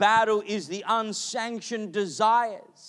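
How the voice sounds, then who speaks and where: A high-pitched male voice with an Australian accent, in a very clean recording with a silent background. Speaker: pastor. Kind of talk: sermon. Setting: church.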